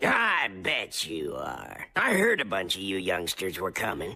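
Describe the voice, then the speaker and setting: In a raspy, cartoonish character voice, a man speaks at a fairly slow pace with a very deep, low pitch. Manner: blunt, lecturing.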